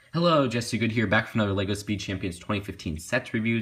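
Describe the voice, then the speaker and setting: This man talks at a very fast pace. His voice is quiet. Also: very clean recording, silent background. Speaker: toy reviewer. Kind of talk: product review. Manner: subdued, quiet to avoid waking others.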